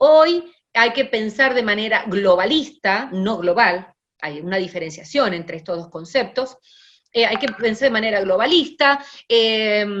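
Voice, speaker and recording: A woman's fairly high-pitched voice at a fairly slow pace, with lively intonation. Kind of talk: lecture. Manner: hesitant fillers.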